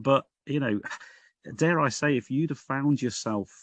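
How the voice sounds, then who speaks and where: With a Liverpool accent, a man speaks at a moderate pace with lively intonation. The sound is dry and close, with no echo. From northern England, Liverpool. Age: 60s. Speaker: Baptist minister. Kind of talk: podcast interview. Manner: hesitant, with repeated words.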